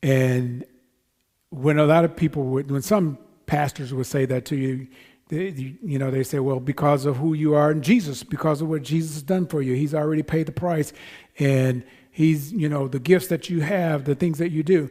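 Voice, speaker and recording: This man has a dark, mellow tone at a fairly high pitch. His intonation stays fairly even. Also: moderate pace. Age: 60s. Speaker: pastor. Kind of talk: sermon. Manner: conversational, halting with fillers.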